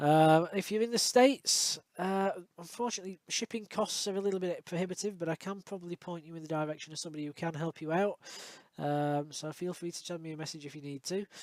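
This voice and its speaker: With a Yorkshire accent, a man talks at a very fast pace in a high pitch, showing ordinary pitch variation in a dry, close sound with no echo. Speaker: electronics repair technician. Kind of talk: tutorial outro, direct to camera. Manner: casual, many fillers.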